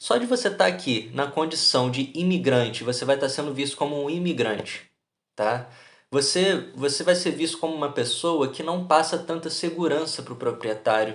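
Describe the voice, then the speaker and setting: Audible room echo accompanies a man with a Brazilian accent who speaks at a moderate pace, with a fairly high pitch and lively intonation. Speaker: YouTuber, immigrant vlogger. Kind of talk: casual vlog monologue. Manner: animated, colloquial.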